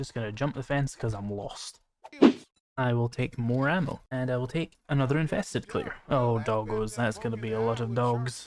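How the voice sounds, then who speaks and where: A man speaking at a moderate pace and medium pitch. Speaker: gaming youtuber. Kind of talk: gameplay commentary. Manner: monotone; flat, unexcited tone.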